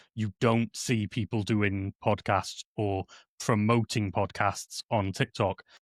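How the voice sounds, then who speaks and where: At a very slow pace, a man speaks with monotone, flat intonation and a fairly low pitch, in a dry, close sound with no echo on a very clean recording with a silent background. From South Wales valleys. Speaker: streamer and content creator. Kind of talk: casual chat.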